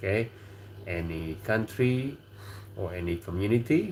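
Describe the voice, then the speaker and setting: This man talks at a very slow pace in an Indonesian accent. His voice is somewhat breathy. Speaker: livestream host. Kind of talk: casual livestream chat.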